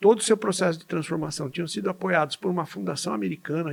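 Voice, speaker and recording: Ordinary pitch variation shapes a man's fairly high voice. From Brazil, São Paulo state (Jundiaí). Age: 60s. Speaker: physician and medical educator. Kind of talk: podcast interview. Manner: halting, with repetitions.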